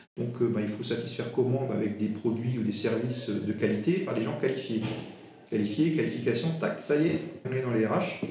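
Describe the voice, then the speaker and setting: Speaking with an Alsatian accent, a man's voice sits at a medium pitch. Audible room echo and noticeable background noise accompany him. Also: ordinary pitch variation, moderate pace. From Alsace, eastern France. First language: Alsatian (speaking French). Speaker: interim HR director. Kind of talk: interview. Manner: halting, many fillers.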